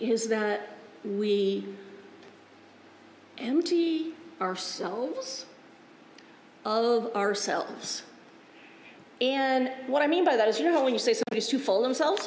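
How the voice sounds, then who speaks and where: With lively intonation and a high pitch, a woman speaks at a fairly slow pace with long, frequent pauses and very even loudness. Audible room echo and light background noise are present. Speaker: Lutheran pastor. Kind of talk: sermon. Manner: conversational, informal. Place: church.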